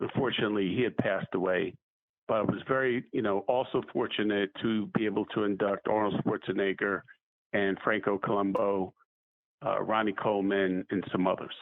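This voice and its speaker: Speaking at a fairly quick pace, a man with a fairly low pitch keeps his loudness very even. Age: 60s. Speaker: fitness trainer and sports executive. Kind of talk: interview. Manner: animated.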